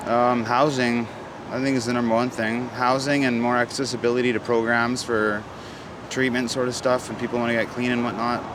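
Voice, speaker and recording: Medium-pitched man in a Canadian accent, fairly quick, monotone and flat, with audible room echo and noticeable background noise. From Vancouver, Canada. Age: 30s. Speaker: drug user interviewed on street. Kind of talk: street interview.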